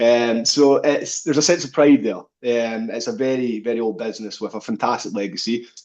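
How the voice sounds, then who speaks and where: A man with a Scottish accent talks at a medium pitch and a fairly quick pace, with hardly any pauses. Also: ordinary pitch variation. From Scottish Highlands, Fort William. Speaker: business owner, plumbing and heating engineer. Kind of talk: interview.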